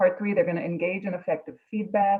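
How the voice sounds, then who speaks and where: A woman speaks with a New York accent. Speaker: instructor. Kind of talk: presentation in online meeting.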